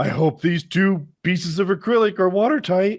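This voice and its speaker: Using a put-on character voice with a dramatic tone, a man speaks at a high pitch and a moderate pace with ordinary pitch variation. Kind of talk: TV voiceover. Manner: dramatic, false urgency.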